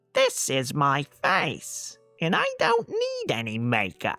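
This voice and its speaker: A put-on character voice at a middle pitch and fairly slow pace, with faint music in the background. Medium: read story.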